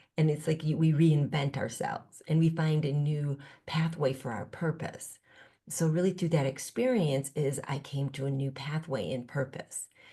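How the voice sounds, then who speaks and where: Her voice is very deep and low, somewhat breathy and dark and mellow in tone, as this woman speaks at a moderate pace. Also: ordinary pitch variation. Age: 60s. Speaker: spiritual teacher and author. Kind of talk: podcast interview. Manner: reflective, with many fillers and restarts.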